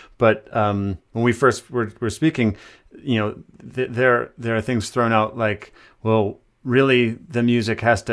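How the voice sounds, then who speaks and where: On a very clean recording with a silent background, a man with an American accent talks at medium pitch, fairly slowly, with fairly even intonation. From Michigan, US Midwest (Ann Arbor). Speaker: composer and musician. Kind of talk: interview conversation. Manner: halting, many fillers.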